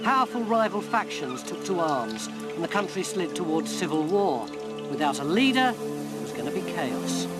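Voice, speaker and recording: The speech keeps a moderate pace. Behind it, music is playing. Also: man. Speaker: documentary presenter. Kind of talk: historical documentary narration.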